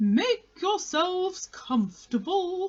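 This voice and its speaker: An extremely high-pitched put-on character voice at a very slow pace. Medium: read story. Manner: solemn, formal, pompous.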